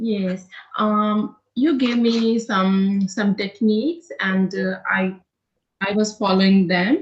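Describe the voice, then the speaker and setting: A woman speaks very slowly with a non-native accent. Her voice is somewhat breathy, with ordinary pitch variation. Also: medium pitch for a woman. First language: not English. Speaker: nursing student. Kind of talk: interview. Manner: halting.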